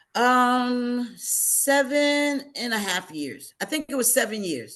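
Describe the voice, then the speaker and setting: Speaking very slowly, a woman with an American accent has a high pitch. Her intonation is lively. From New Jersey, Hackensack. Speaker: military veteran. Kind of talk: interview.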